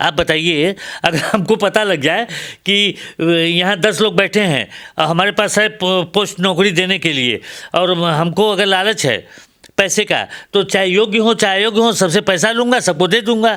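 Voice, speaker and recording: Raising and projecting his voice, a man speaks at a high pitch with ordinary variation and a bright, sharp tone, recorded very cleanly against a silent background. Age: 70s. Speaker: professor. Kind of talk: interview. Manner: animated.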